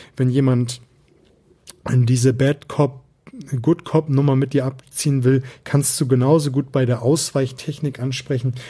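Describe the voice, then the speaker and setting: In a somewhat breathy, dark, mellow voice of medium pitch, a man speaks at a fairly slow pace with monotone, flat intonation, very even loudness, and long, frequent pauses. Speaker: sales and persuasion coach, podcast host. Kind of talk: solo podcast monologue, coaching tips.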